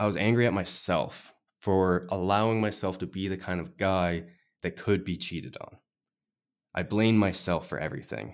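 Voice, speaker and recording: Speaking at a moderate pace, a man uses a very deep, low pitch and fairly even intonation. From Nova Scotia, Canada. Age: 20s. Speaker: life coach and podcaster. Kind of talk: interview conversation.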